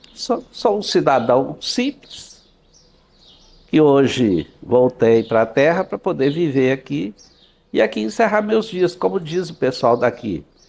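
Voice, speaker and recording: A man's medium-pitched voice carries vocal fry and very wide pitch swings. His pace is very slow. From Brazil, Minas Gerais (Vazante). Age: 70s. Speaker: local notable, doctor. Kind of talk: interview, reminiscing.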